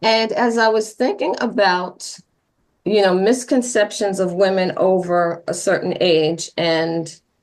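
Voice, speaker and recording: This woman's pitch is medium and shows ordinary variation. Her pace is very slow. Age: 60s. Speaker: nonprofit founder. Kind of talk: casual interview.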